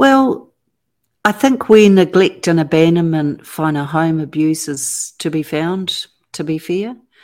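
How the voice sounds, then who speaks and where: With a New Zealand accent, a woman speaks at a fairly slow pace in a fairly low pitch with lively intonation. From New Zealand, Auckland. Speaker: author and abuse survivor advocate. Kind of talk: interview testimony.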